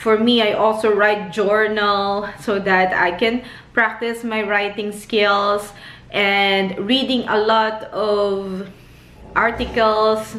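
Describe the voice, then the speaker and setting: In a room with audible echo, a woman speaks at a very slow pace in a fairly high pitch. Her intonation is monotone and flat, and her loudness stays very even. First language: not English. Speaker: nurse and vlogger. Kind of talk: casual advice vlog. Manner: hesitant, many fillers.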